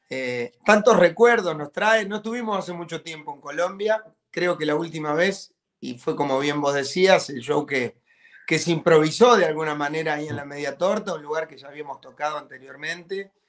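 This man speaks at a moderate pace with ordinary pitch variation and big swings in loudness. The background is quiet. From Argentina. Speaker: rock band drummer. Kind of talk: interview. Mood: warm, upbeat. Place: home room. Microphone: video call.

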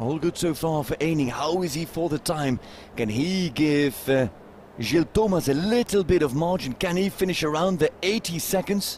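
This man has an ordinary speaking voice, pitched fairly high, and he moves at a moderate pace while his pitch varies in an ordinary way. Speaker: show jumping commentator. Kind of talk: live sports commentary on show jumping, delivered over the action. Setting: live at the venue with the crowd. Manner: formal, statistics-heavy, informative.

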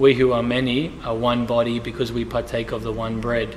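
Over light background noise, a man speaks with a monotone, flat intonation. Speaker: church pastor on panel. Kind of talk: interview answer. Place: church.

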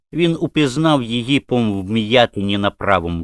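Someone reads in a natural voice, and the intonation rises and falls in a lively way.

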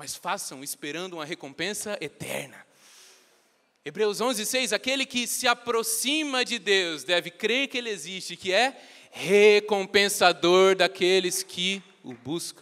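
A man speaks in a raised, projected, high voice with an animated tone and lively intonation. His pace is fairly slow, his loudness swings widely, and the background is quiet. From Brazil. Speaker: preacher. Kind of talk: sermon. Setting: church. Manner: earnest, teaching-style, urgent; animated, conversational, joking with the congregation. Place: church. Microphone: handheld.

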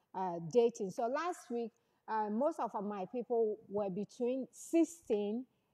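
Over a quiet background, a woman speaks very slowly in a dark, mellow tone. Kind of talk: live-streamed talk show with sermon elements. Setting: live stream. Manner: loud; hesitant with many fillers. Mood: warm, thankful. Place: studio. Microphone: lapel.

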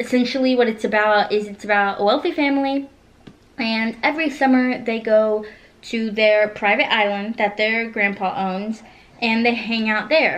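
A woman talks at a moderate pace. Her intonation stays fairly even. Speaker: book reviewer. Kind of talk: casual vlog chat. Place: home room. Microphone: camera far.

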